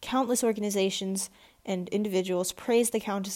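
Natural reading voice, nothing more.

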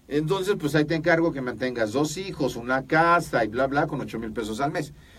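Here a man talks in an ordinary speaking voice at a fairly quick pace. His pitch varies in an ordinary way. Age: 50s. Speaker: podcast host. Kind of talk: interview.

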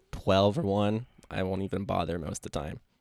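A man with an American accent and a plain, everyday voice speaks at a fairly low pitch with fairly even intonation, in a very clean recording with a silent background. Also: dry, close sound with no echo. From Asheville, North Carolina. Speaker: podcast host and real estate agent. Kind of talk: casual interview.

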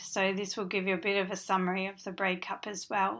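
In a very clean recording with a silent background, a woman with an Australian accent speaks at a moderate pace and a medium pitch, with a bright, sharp tone and monotone, flat intonation. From Western Australia, Perth. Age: 40s. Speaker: podcast host, author. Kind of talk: casual monologue.

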